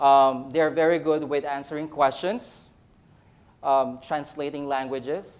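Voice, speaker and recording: In a Filipino accent, a man talks at a fairly slow pace with a fairly high pitch and fairly even intonation. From Philippines. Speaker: nurse educator. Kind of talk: conference talk. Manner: halting, many fillers and repeats.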